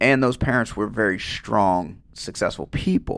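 A man speaks at a moderate pace with a fairly low pitch, lively intonation and vocal fry. The recording is very clean, with a silent background. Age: 40s. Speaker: guest co-host on grief podcast. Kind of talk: casual chat.

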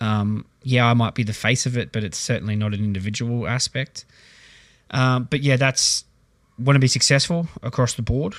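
At a moderate pace, a man speaks at medium pitch with ordinary pitch variation, in a dry, close sound with no echo and a very clean recording with a silent background. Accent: Australian. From Australia. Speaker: basketball club manager and coach. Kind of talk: casual chat.

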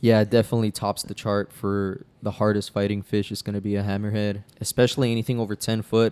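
Speaking with an American accent, a man rushes along at a very fast pace with hardly any pauses and monotone, flat intonation, in a very clean recording with a silent background and a dry, close sound with no echo. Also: fairly low pitch for a man. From South Texas (Brownsville). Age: 20s. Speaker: fishing guide. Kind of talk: casual chat.

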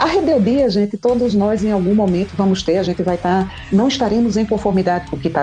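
Music plays in the background as a woman talks at a fairly quick pace. Her pitch sits in the medium range. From Brazilian Northeast. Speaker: endocrinologist. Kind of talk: podcast interview.

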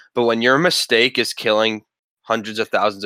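Dry and close with no echo, a man's bright, sharp voice races along at a very fast pace. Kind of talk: casual chat. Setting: video call.

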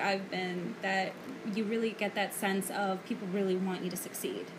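With a New York accent, a woman talks at a moderate pace amid noticeable background noise. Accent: New York City. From the Bronx, New York City. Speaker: guest co-host. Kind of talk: casual chat.

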